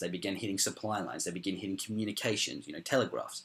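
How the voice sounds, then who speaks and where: Very fast speech from a man with an Australian accent comes through on a very clean recording with a silent background. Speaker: history youtuber. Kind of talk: casual explainer talk. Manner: hesitant, many ums.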